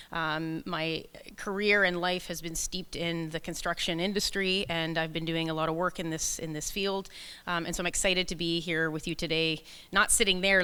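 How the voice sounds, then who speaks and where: A woman's bright, sharp tone at a fairly quick pace with fairly even intonation, on a very clean recording with a silent background. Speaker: leadership coach and keynote speaker. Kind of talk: conference keynote talk. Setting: stage with audience, microphone. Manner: loud.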